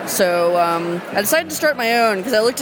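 Over noticeable background noise, a woman talks at a fairly quick pace in an enthusiastic tone. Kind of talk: casual interview chat. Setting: zine fest in large hall.

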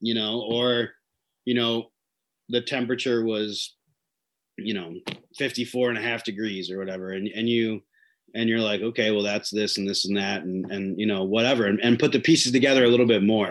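Over a quiet background, a man of medium pitch speaks at a moderate pace with fairly even intonation and long, frequent pauses. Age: 30s. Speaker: fishing guide. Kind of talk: casual interview.

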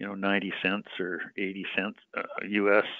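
Here a man speaks with a Western Canadian accent. His pitch sits fairly low. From British Columbia, Canada. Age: 60s. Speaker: mining company executive. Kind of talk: interview.

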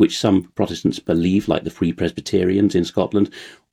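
Man with an RP accent, fairly low pitch, dark, mellow tone, ordinary pitch variation and moderate pace, quiet background. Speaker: translator and researcher. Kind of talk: conversational interview.

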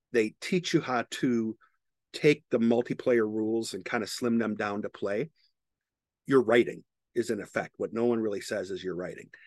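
A man with an ordinary speaking voice talks at a medium pitch and a moderate pace with ordinary pitch variation, in a dry, close sound with no echo and a quiet background. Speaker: podcast host, technology professional. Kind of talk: casual chat.

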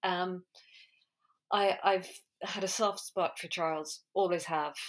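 A woman speaks with an Irish accent in a bright, sharp tone at a fairly low pitch. Her intonation is monotone and flat, and the recording is very clean with a silent background. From Ireland. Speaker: podcast host. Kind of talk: casual monologue.

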